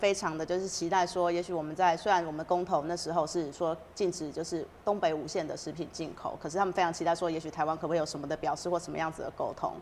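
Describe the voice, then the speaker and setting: A woman with a Taiwanese accent at a fairly low pitch and a very fast pace, with fairly even intonation over light background noise. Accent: Taiwanese Mandarin. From Taiwan, Yunlin County. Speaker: city council candidate. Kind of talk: interview. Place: studio. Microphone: lapel.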